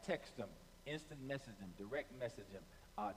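Light background noise runs under a man whose pitch varies in an ordinary way. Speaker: pastor. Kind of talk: sermon opening, direct address to online viewers. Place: stage. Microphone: headset.

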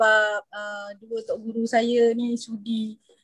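A woman speaks in a fairly high, somewhat breathy voice. The sound is dry with no echo, and the background is quiet. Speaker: university lecturer. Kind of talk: video meeting discussion. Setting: video call. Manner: halting. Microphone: video call.

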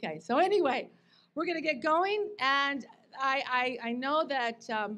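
A woman speaks at a high pitch with very wide pitch swings. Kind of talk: ceremony speech. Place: stage. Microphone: podium.

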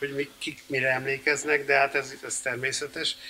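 At a moderate pace and medium pitch, a man talks in an unremarkable speaking voice. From Hungary. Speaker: composer and band founder; interviewee. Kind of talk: interview before audience. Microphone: studio mic.

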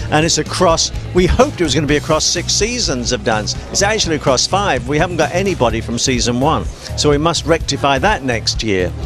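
A man speaks at a fairly quick pace over clear background music, the sound dry with no echo. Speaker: judge. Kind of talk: interview answer. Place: hall. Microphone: handheld.

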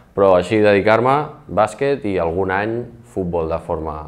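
Speaking at a fairly slow pace, a man with a very deep, low pitch uses ordinary pitch variation. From Barcelona, Catalonia. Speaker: secondary school teacher. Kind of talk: interview. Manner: halting. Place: studio.

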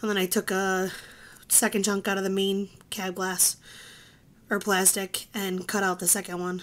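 Light background noise sits behind a woman speaking at a fairly slow pace. Her intonation stays monotone and flat. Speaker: toy tractor customizer. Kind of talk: tutorial. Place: workshop. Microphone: phone near.

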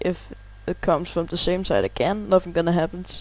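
This is a man's voice. He speaks with a Danish accent. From Denmark. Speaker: gaming youtuber. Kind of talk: gameplay tutorial. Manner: halting, pauses to find words.

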